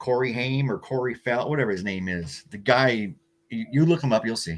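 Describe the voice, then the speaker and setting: Talking at a fairly quick pace, a man has an American accent. His pitch is medium. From US Pacific Northwest, Oregon. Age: 60s. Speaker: pro wrestling promoter. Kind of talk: interview. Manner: halting, repeats words.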